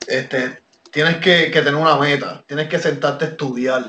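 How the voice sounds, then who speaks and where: This man has a plain, everyday voice. His pitch sits fairly high and his intonation stays fairly even. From Puerto Rico. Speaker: professional wrestler. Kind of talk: interview.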